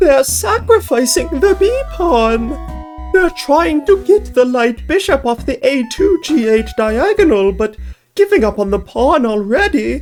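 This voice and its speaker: A put-on character voice pitched high, delivered at a fairly slow pace. Faint music plays in the background. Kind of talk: comic put-on silly voice. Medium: actual play. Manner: earnest, formal, fretful.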